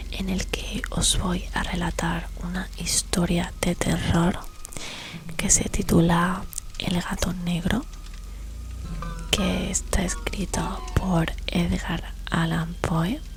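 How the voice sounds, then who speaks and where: A soft-spoken woman at a very slow pace, with long, frequent pauses and music in the background. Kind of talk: ASMR intro talk to viewers.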